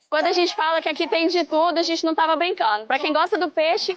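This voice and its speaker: A woman speaks very fast in an extremely high pitch with an upbeat tone. Her loudness stays very even throughout. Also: ordinary pitch variation. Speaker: event host. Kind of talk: event coverage presentation. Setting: outdoors.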